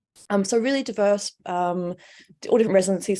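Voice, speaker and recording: A woman speaks at a medium pitch in an Australian accent. Her tone is dark and mellow. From Australia, Melbourne. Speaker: artist. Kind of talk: casual interview. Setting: live stream.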